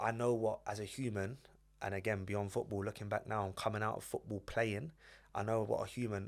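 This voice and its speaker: The speaker is a man. He has a North London accent. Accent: North London English, multicultural London. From London, Edmonton. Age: 20s. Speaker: former footballer and football coach. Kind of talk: podcast interview.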